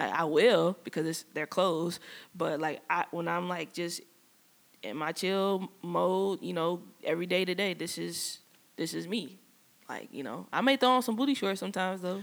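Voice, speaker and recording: The speech moves at a moderate pace, captured on a very clean recording with a silent background. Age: 30s. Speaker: podcast co-host. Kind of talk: casual chat. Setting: studio.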